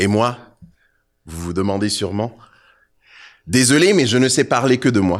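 A man speaks at a fairly slow pace with vocal fry. The recording is very clean, with a silent background. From Côte d'Ivoire. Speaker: poet and rapper. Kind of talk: spoken word performance. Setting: stage with audience.

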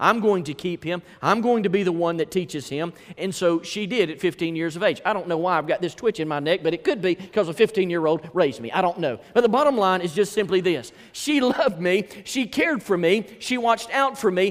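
Sounding animated, a man with a Southern US accent talks at a high pitch. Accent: US South. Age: 40s. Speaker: pastor. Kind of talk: sermon. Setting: church.

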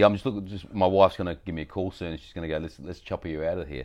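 With an Australian accent, a man talks at a very fast pace. His voice has vocal fry and ordinary pitch variation. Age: 50s. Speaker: podcast guest. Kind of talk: casual chat. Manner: animated.

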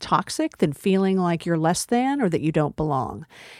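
In a very clean recording with a silent background and a dry, close sound with no echo, a woman with an American accent uses a normal speaking voice at a medium pitch and moderate pace. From Texas. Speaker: community college president. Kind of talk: interview.

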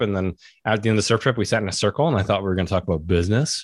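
A man with a Western Canadian accent talks very fast at a fairly low pitch, with ordinary pitch variation. The recording is very clean, with a silent background. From Vancouver, Canada. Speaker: entrepreneur and men's group leader. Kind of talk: casual interview chat.

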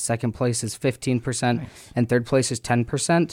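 A man with an American accent uses an ordinary speaking voice at medium pitch and fairly even intonation, in a dry, close sound with no echo on a very clean recording with a silent background. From Minnesota, Twin Cities. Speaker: college fishing club president. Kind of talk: radio interview. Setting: radio studio.

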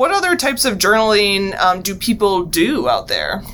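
The voice moves at a fairly quick pace with lively intonation over noticeable background noise. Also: woman. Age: 30s. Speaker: podcast host, university wellbeing director. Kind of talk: casual interview.

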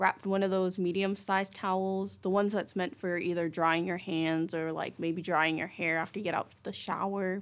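Fairly quick in pace, a woman speaks with a fairly low pitch. The recording is very clean, with a silent background. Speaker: college student radio host. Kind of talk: personal storytelling monologue. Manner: casual, animated.

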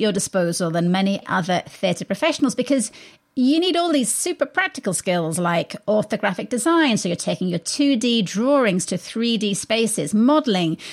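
Speaking at a moderate pace with an English accent, a woman's fairly high voice swings very widely in pitch in a very clean recording with a silent background. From England. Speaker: radio arts show host. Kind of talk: radio interview. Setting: studio.

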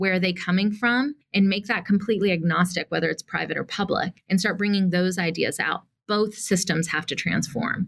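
Somewhat breathy and fairly even in intonation, the voice moves at a fairly quick pace with hardly any pauses. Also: woman, medium pitch for a woman. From US South, Atlanta, Georgia. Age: 40s. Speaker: nonprofit CEO and activist. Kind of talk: interview.

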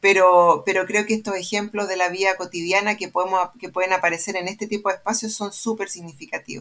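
Speaking at a very fast pace with hardly any pauses, a woman keeps her intonation fairly even. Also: medium pitch for a woman. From Chile, Santiago. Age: 50s. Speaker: sociologist and research center director. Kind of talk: panel discussion.

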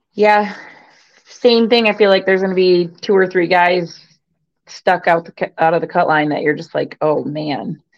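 At a moderate pace, a woman with a strong Michigan accent speaks at medium pitch. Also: ordinary pitch variation. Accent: Michigan accent, fairly strong. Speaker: sports commentator. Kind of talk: casual chat. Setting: live stream with chat.

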